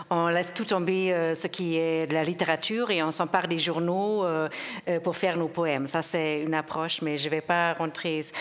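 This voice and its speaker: A woman speaks at a fairly low pitch and a moderate pace, her loudness very even and her intonation monotone and flat. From Germany. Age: 50s. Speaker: sound poet and performer. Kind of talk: panel discussion. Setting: stage with audience.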